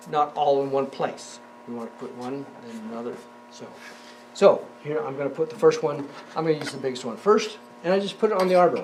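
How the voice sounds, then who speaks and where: Long, frequent pauses within a fairly quick pace, over noticeable background noise. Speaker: woodworking instructor. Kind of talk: tutorial. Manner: casual, halting with fillers.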